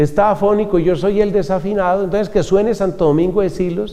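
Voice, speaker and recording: A man with a high pitch talks at a moderate pace. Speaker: friar and preacher. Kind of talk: religious talk.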